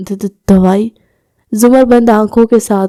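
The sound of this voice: Quiet background, with an unforced reading voice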